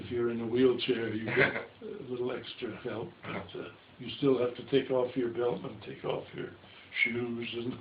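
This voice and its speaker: Over noticeable background noise, a man speaks at a moderate pace and medium pitch. His intonation is fairly even, but his loudness swings widely. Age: 80s+. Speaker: stop-motion filmmaker. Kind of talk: interview answer. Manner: hesitant, halting.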